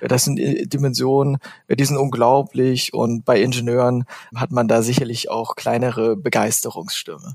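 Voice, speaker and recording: Using an ordinary speaking voice, a man talks at a moderate pace with medium pitch and ordinary pitch variation. The sound is dry and close, with no echo. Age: 30s. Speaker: renewable energy executive. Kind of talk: interview.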